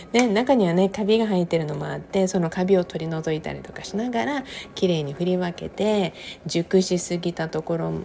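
A woman's fairly low voice at a fairly quick pace, with ordinary pitch variation and big swings in loudness, over noticeable background noise. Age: 50s. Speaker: podcaster. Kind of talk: casual monologue. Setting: home kitchen. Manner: chatty, laughing.

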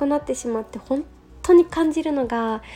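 A woman speaks in a relaxed tone. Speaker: yoga instructor. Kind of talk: casual solo radio talk. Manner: relaxed, many fillers.

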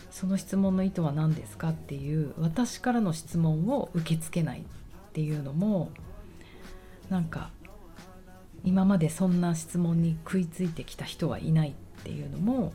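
With a relaxed tone, a woman at a fairly low pitch speaks at a moderate pace, her loudness swinging widely amid audible room echo. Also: ordinary pitch variation. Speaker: personal trainer and podcaster. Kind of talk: casual monologue. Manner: relaxed, laid-back.

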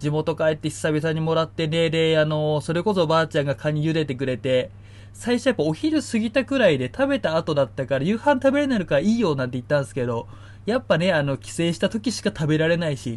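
This man talks at a very fast pace. His fairly high pitch swings very widely. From Niigata, Japan. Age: 30s. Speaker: podcast host. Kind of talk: casual solo talk. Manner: many fillers.

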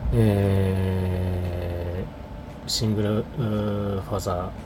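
Audible room echo and noticeable background noise around fairly even intonation. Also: man. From Hokkaido, Japan. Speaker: podcaster. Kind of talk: casual solo monologue. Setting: alone in an office. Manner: hesitant, many fillers.

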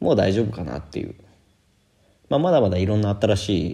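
A man speaks with a very deep, low pitch, a dark, mellow tone and a somewhat breathy quality. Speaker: Japanese teacher and podcaster. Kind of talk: casual solo podcast monologue.

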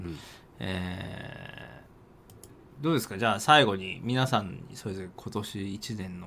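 The man's fairly low voice is an unremarkable speaking voice, with big swings in loudness. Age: middle-aged. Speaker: game streamer and talk radio co-host. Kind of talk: casual chat. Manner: laughs often.

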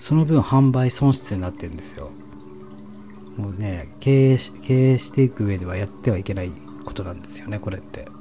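A man with a fairly low pitch, lively intonation and a fairly quick pace, over noticeable background noise. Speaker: solo streamer. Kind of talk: late-night sleep-talk broadcast, intimate whispered ASMR-style monologue. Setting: home recording with stereo microphone.

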